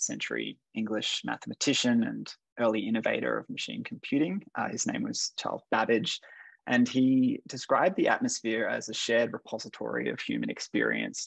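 Over a quiet background, a man with an Australian accent speaks at a moderate pace, the sound dry with no echo. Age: 30s. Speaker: curator and art historian, discussion moderator. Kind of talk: panel discussion. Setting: video call. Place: home room. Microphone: video call.

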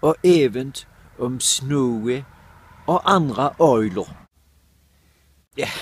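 Dry and free of echo, the recording has a man speaking with lively intonation and long, frequent pauses. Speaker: dialect word presenter. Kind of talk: short educational dialect word explainer to camera. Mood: playful, expressive faces. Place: garden. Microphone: phone near.

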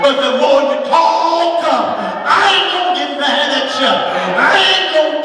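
A man speaks at a very slow pace. Crowd noise and audible room echo fill the background. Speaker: preacher. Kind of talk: sermon. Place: church.

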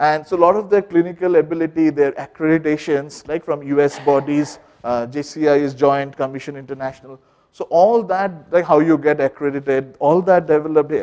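Fairly quick speech from a man with a dark, mellow tone over a quiet background. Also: fairly even intonation. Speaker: business school researcher; presenter. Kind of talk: research seminar presentation. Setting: seminar room with microphone and audience. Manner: loud. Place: classroom.

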